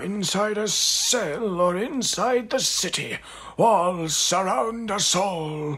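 Light background noise sits behind a man with a high pitch. He talks at a very slow pace. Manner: gentle, wry.

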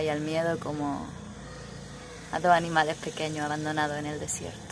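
With noticeable background noise behind her, a woman speaks at a fairly quick pace in a very deep, low pitch with monotone, flat intonation. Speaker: poetry reciter. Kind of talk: poetry reading. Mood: dramatic, expressive. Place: street. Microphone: phone near.

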